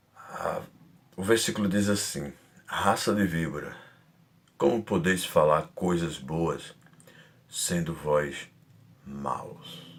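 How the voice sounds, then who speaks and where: A soft-spoken man talks at a very slow pace in a very deep, low voice with ordinary pitch variation. Long, frequent pauses break up his speech, and the room echo is audible. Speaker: preacher. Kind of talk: sermon.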